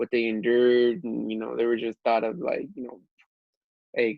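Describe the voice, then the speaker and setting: A man's voice at medium pitch. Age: 20s. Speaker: small business owner. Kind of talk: casual chat. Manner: animated.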